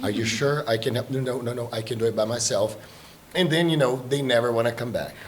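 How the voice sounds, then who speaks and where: A man speaks at a fairly quick pace, his pitch in the middle range and its variation ordinary, with noticeable background noise. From Brazil. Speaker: exchange trip organizer. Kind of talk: casual chat.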